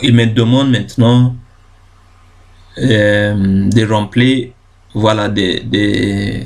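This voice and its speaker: Pitched fairly low, a man talks with monotone, flat intonation. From Ghana. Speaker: YouTube tutorial creator. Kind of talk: tutorial. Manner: halting, many fillers and self-corrections.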